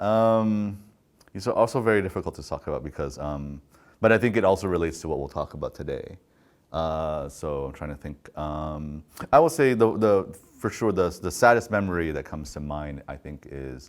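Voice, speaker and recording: A man with an American accent, very deep and low in pitch, with big swings in loudness, on a very clean recording with a silent background. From US Pacific Northwest, Oregon. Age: 30s. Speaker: podcaster and filmmaker. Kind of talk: interview.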